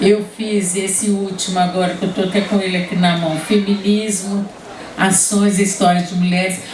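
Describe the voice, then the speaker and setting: A woman's medium-pitched, monotone, flat speech at a moderate pace, with audible room echo and noticeable background noise. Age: 70s. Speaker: writer and feminist activist. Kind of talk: panel talk. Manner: halting, many restarts.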